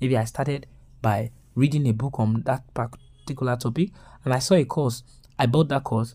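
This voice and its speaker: A somewhat breathy voice with a dark, mellow tone, a fairly quick pace and fairly even intonation. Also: man. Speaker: online course creator. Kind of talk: webinar. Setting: webinar. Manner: fast.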